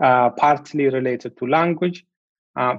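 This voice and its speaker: A man's fairly high-pitched voice with an Ethiopian accent. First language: Amharic. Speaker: law researcher. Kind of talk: interview.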